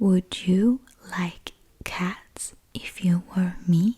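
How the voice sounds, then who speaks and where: Using a put-on character voice that sounds female, the speaker holds a medium pitch and moves at a very slow pace. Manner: passionate, angry.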